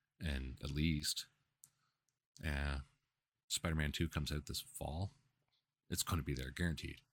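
A man speaks in a very deep, low voice with vocal fry and monotone, flat intonation. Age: 30s. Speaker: gaming podcast host. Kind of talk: casual solo commentary. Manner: halting, many fillers.

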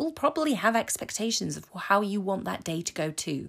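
A woman in an English accent speaks at a moderate pace, with vocal fry and very wide pitch swings. The recording is very clean with a silent background. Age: 40s. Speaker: self-love coach. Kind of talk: solo podcast monologue. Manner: casual, hesitant with fillers.

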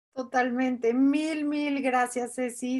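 Here a woman speaks at a very slow pace with a high pitch. The recording is very clean, with a silent background. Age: 40s. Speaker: podcast co-host. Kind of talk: casual chat.

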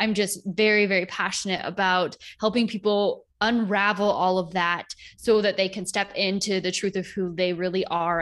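Over a silent background on a very clean recording, a woman uses a normal speaking voice at a medium pitch, with fairly even intonation. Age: 30s. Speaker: holistic healer and yoga teacher. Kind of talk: casual interview chat.

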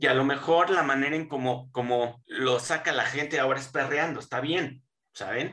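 A man with a bright, sharp tone and fairly high pitch keeps fairly even intonation at a moderate pace. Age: 40s. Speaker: podcast guest. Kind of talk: casual chat.

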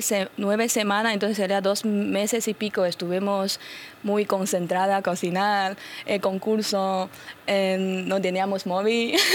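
Speaking at a fairly slow pace, a woman uses a medium pitch and a Chinese accent. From China. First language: Chinese (speaking Spanish). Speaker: influencer. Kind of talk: radio interview.

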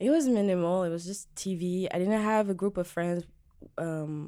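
A woman with a French accent speaks in a dark, mellow tone on a very clean recording with a silent background. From Djibouti, East Africa. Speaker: singer-songwriter. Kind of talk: casual interview. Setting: studio.

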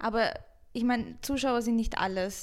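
A woman's fairly high voice at a moderate pace, with audible room echo. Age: 20s. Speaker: Twitch streamer. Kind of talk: casual chat. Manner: loud.

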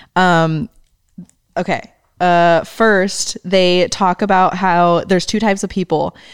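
This woman talks at a very slow pace in a medium pitch, with fairly even intonation and very even loudness. The sound is dry and close, with no echo. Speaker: podcast co-host, graphic designer. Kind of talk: casual chat.

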